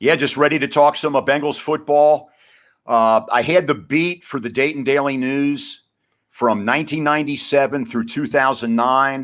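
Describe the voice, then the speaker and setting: On a very clean recording with a silent background, a man with a fairly high pitch talks at a moderate pace with ordinary pitch variation in a normal speaking voice. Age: 60s. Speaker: retired sports writer and radio commentator. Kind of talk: podcast interview.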